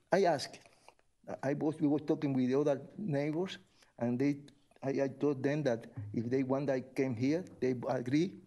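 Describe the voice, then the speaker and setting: In a Spanish accent, a man speaks at a moderate pace with a fairly high pitch, a dark, mellow tone, fairly even intonation, very even loudness and long, frequent pauses. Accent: non-native English, Spanish-speaking. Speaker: resident making public comment. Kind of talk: public comment at city meeting. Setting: city commission meeting. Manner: halting.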